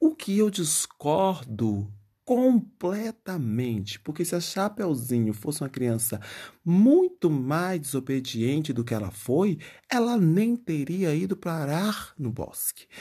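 A man talks at a very slow pace in a dark, mellow tone with a fairly high pitch and very wide pitch swings. The recording is very clean, with a silent background and no other sound. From Bahia countryside, Brazil. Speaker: podcast host. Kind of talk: comedic solo monologue.

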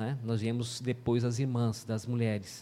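A man with a dark, mellow tone holds a medium pitch in a monotone, flat delivery. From Mato Grosso do Sul, Brazil (Paraguay border). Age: 40s. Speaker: pastor. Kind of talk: testimony.

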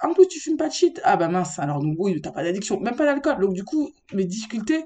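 Somewhat breathy and dark, mellow in tone, a woman moves through very wide pitch swings at a fairly quick pace. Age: 30s. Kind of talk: casual chat. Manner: halting.

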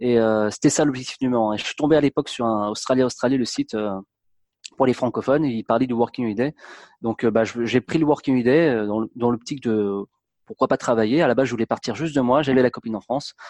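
Talking very fast, a man keeps a fairly even intonation at a medium pitch. The sound is dry and close with no echo, over a quiet background. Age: 30s. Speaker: travel blogger. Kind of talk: interview. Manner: halting.

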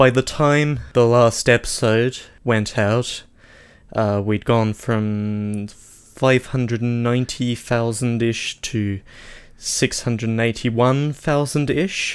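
A man talks at a very slow pace with an Australian accent. His pitch is medium and his intonation fairly even. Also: very clean recording, silent background. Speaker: podcast co-host. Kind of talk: casual chat. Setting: home studio.

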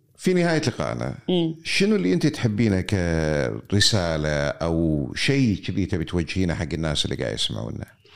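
In a Kuwaiti accent, a man with a very deep, low pitch speaks at a moderate pace, with very wide pitch swings and hardly any pauses. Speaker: interviewer. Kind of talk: conversational interview.

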